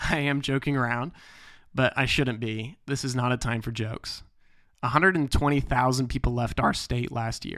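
The recording is very clean, with a silent background. A man with a bright, sharp tone speaks fairly slowly. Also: medium pitch for a man, fairly even intonation. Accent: Midwestern American. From US Midwest, western Illinois. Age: 20s. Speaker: political candidate and podcast host. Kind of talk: campaign monologue.

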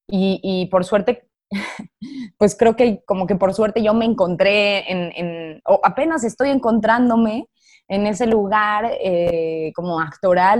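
A woman with a Mexican accent speaks at a fairly slow pace and a medium pitch, with ordinary pitch variation. The recording is very clean, with a silent background. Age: 20s. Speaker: actress. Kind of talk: casual interview.

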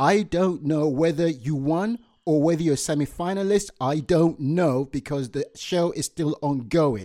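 On a very clean recording with a silent background, a man with a fairly high pitch and a dark, mellow tone speaks at a fairly slow pace with ordinary pitch variation. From Nigeria. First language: Yoruba. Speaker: podcast host. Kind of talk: casual chat.

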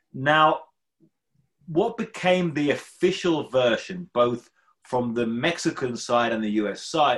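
A man speaks with a British accent at a fairly slow pace. His pitch varies in an ordinary way. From UK. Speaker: journalist and podcast host. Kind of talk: interview. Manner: halting, with fillers.

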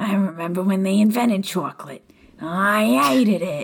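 In a put-on character voice at middle pitch, the speaker moves at a moderate pace. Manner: cartoonish, comic.

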